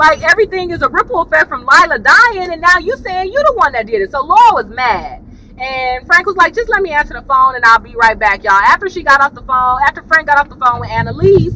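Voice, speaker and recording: A woman's high, raised, projected voice at a very fast pace, with very wide pitch swings, big swings in loudness, hardly any pauses and noticeable background noise. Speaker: YouTube TV reviewer. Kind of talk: casual chat. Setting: in a car. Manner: animated.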